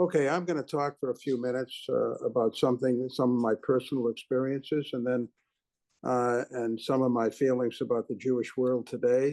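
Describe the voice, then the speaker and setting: Speaking at a fairly quick pace, the man holds a medium pitch with fairly even intonation. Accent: Boston. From Boston, Massachusetts. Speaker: businessman and philanthropist. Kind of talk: keynote speech. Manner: halting, many fillers.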